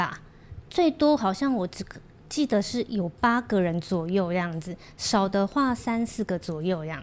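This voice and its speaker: A woman's medium-pitched voice, fairly slow, with lively intonation. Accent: Korean. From Taiwan, Kaohsiung. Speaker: Korean language school owner and teacher. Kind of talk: casual chat.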